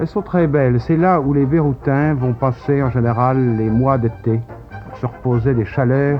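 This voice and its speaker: Against music in the background, a man speaks at a medium pitch and fairly slow pace with ordinary pitch variation. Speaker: travel filmmaker narrating his footage. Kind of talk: TV interview answer, voice-over commentary.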